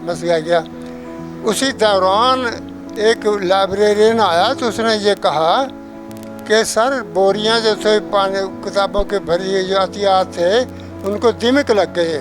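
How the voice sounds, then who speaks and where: Music plays in the background as a man talks in a high pitch with ordinary pitch variation. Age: 80s+. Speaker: retired scholar with PhD. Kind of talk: interview answer.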